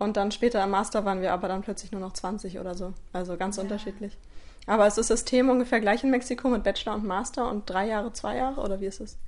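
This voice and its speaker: Very fast speech comes from a woman. Her medium-pitched voice keeps fairly even intonation. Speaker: podcast host and German teacher. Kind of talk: casual interview. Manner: hesitant, many fillers.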